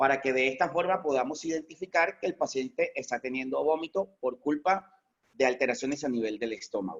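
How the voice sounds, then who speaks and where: A man with a plain, everyday voice at a fairly quick pace, with ordinary pitch variation. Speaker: veterinarian. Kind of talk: lecture.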